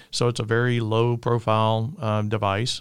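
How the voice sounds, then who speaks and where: With an Alabama accent, a man talks at medium pitch and a moderate pace. His intonation is fairly even, and the recording is very clean with a silent background. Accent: Southern US (Alabama). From Alabama, US South. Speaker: tech industry executive. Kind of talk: interview. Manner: halting, filler-heavy.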